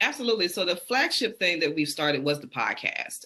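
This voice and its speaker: A bright, sharp tone with a Southern accent. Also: woman. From US South, Birmingham, Alabama. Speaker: PhD researcher and podcaster. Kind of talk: interview.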